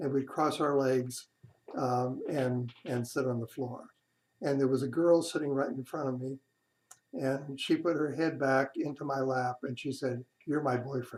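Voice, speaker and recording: A man speaks with a West Coast accent at a fairly slow pace. His intonation is monotone and flat. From California, San Diego. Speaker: grandfather telling his life story. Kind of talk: personal memoir narration. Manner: halting, with hesitations.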